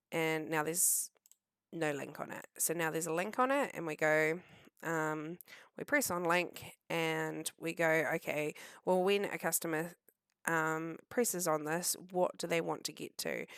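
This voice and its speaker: A woman with a New Zealand accent at a fairly slow pace, fairly even intonation, in a very clean recording with a silent background. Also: fairly low pitch for a woman. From New Zealand, Southland. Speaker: web design tutor. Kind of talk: screen-share tutorial. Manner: casual, hesitant with many ums.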